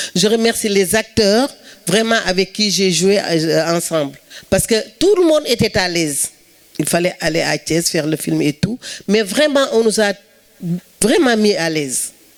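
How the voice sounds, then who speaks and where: A woman with a Senegalese accent at medium pitch, a fairly slow pace with long, frequent pauses, and noticeable background noise. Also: lively intonation, very even loudness. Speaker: actress. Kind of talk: speech at film event. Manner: halting.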